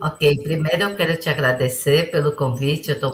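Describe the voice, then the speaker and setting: Her pitch very deep and low with ordinary variation, a woman talks at a moderate pace. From Brazil. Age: 60s. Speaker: businesswoman and international relations advisor. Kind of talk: podcast interview.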